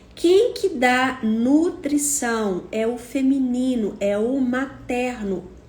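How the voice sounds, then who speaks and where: In a room with audible echo, a woman talks with a high pitch. Her pace is very slow. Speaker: psychotherapist. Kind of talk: monologue talk to camera.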